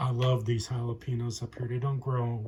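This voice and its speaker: This man's voice sits at a medium pitch and has a dark, mellow tone that comes across somewhat breathy. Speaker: home gardener, channel owner. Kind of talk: casual show-and-tell vlog. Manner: mumbling, hesitant with fillers.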